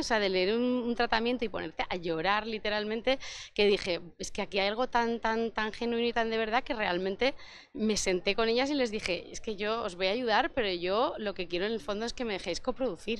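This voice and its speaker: A woman speaks at a moderate pace with ordinary pitch variation, in a dry sound with no echo. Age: 40s. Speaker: film producer; interviewee. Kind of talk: interview. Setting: festival interview set. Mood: warm, reflective. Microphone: handheld.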